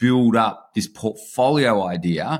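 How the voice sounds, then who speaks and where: A medium-pitched man with an Australian accent and lively intonation. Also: very clean recording, silent background. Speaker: online business investor. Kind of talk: interview.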